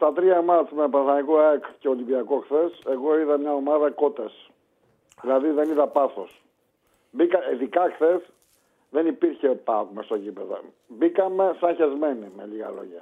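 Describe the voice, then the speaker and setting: A man with a fairly high pitch and lively intonation talks at a fairly slow pace, leaving long, frequent pauses. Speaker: caller. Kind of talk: casual chat.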